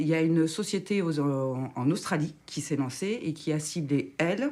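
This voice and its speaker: This woman has a fairly low pitch. Her pitch variation is ordinary. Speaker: radio show columnist. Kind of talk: casual radio chat. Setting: studio. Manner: halting, unfinished sentences.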